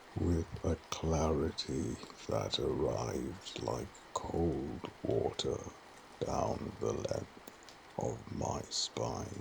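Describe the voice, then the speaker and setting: Noticeable background noise under a man's very slow speech, his loudness very even. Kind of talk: sleep story.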